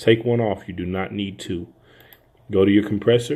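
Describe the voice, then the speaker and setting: Using fairly even intonation, a man talks at a fairly low pitch and a moderate pace. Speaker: audio engineer. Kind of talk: tutorial. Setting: home studio. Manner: soft-spoken.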